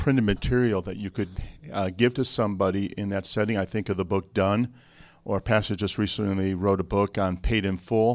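In an American accent, a plain, everyday voice moves at a fairly quick pace with ordinary pitch variation on a very clean recording with a silent background. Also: man. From Chicago. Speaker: church staff member. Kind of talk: conference panel Q&A.

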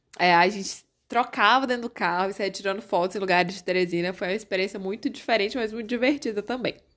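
A woman talks at a very fast pace with a medium pitch and ordinary pitch variation, on a very clean recording with a silent background. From Brazil, Corrente (Piauí). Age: 30s. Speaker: podcast host. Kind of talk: casual monologue.

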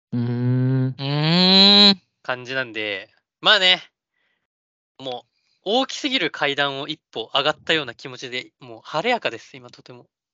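In a plain, everyday voice, the speaker goes at a fairly slow pace with lively intonation and big swings in loudness. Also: man, fairly high pitch for a man. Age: 20s. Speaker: podcast co-host. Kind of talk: casual chat.

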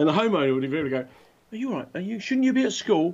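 The speaker talks at a very fast pace with a British accent. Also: man. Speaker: podcast co-host. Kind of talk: casual banter. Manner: animated, joking.

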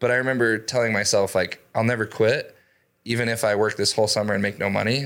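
Very fast, monotone, flat delivery in an American accent, on a very clean recording with a silent background. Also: man. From Idaho. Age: 30s. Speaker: door-to-door sales leader and real estate investor. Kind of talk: interview.

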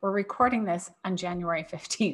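A woman at a medium pitch, with a plain, everyday voice. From US Northeast. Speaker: food allergy business owner and parent. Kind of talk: casual interview.

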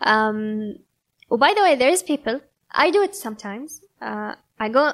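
A woman with a Kuwaiti accent and lively intonation, in a very clean recording with a silent background. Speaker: yoga instructor. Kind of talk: casual interview chat. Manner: code-switching between Arabic and English.

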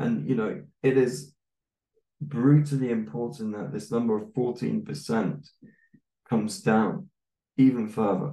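The voice has a British accent and a dark, mellow tone, with very wide pitch swings. It moves at a fairly slow pace with long, frequent pauses. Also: man, medium pitch for a man. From UK. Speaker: English teacher and podcaster. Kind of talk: casual interview chat.

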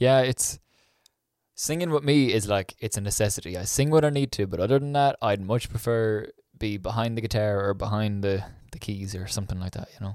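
On a very clean recording with a silent background, a man with an Irish accent speaks fairly quickly at a fairly low pitch with ordinary pitch variation. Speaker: podcast host. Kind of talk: podcast intro narration; casual interview chat.

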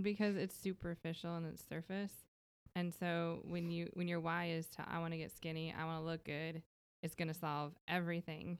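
A woman speaks with an American accent at a moderate pace. Her fairly low voice keeps a monotone, flat intonation. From Minnesota, US. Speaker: fitness client who lost weight. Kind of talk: casual interview. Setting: studio.

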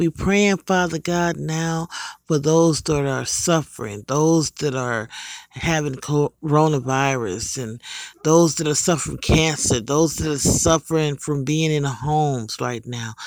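Fairly slow and fairly high in pitch, a man talks in a plain, everyday voice with ordinary pitch variation. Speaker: prayer leader. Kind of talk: fervent intercessory prayer. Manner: earnest, pleading, repetitive.

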